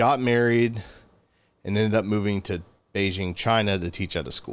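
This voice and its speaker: In a very clean recording with a silent background, a man with a Southern US accent talks at a moderate pace in a fairly low pitch, with ordinary pitch variation. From US South (Georgia). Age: 30s. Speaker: gun store worker, former English teacher in China. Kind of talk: casual interview. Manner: halting, many fillers.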